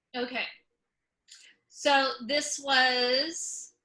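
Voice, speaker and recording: A woman's bright, sharp, high-pitched voice with an American accent, monotone and flat, at a very slow pace, with audible room echo. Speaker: comedian and author. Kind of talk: presentation. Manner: many fillers and repetitions.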